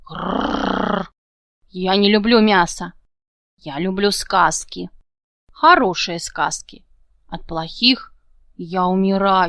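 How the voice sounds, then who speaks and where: Growling in a playful, put-on character voice, a woman speaks at a medium pitch and a fairly slow pace. Long pauses come often. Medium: read story. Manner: growling, playful.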